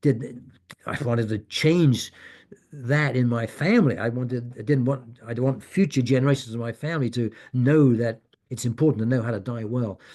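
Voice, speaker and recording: Here a man talks at a moderate pace. His voice sits at a medium pitch with a dark, mellow tone. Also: fairly even intonation, quiet background. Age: 70s. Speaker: guest speaker on death and dying. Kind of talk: Q&A session in online meeting. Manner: halting, many restarts.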